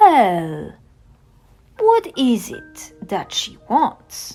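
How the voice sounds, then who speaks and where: Over faint music in the background, a female-sounding voice performs a put-on character voice. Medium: read story. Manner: brief, matter-of-fact.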